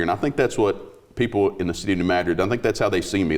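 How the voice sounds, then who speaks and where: With a Southern Midland US accent, a man speaks very fast in a very deep, low voice with ordinary pitch variation. The recording is very clean, with a silent background. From US Midwest, southeast Missouri. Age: 40s. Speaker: police chief, sheriff candidate. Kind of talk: interview.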